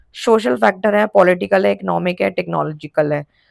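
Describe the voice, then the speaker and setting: A woman's voice with vocal fry and very wide pitch swings, dry and close with no echo, on a very clean recording over a silent background. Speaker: teacher. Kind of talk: lecture. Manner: casual, conversational.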